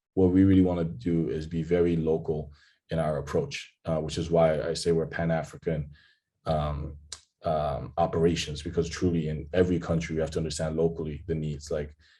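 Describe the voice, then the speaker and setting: A man's very deep, low voice with a dark, mellow tone, flat monotone delivery, fairly quick pace and audible room echo. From DR Congo (Kinshasa). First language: French. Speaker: startup founder. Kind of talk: interview.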